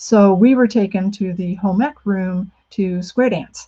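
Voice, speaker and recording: A woman speaks in a medium pitch, somewhat breathy, with ordinary pitch variation. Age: 60s. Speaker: author. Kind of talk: talk. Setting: video call.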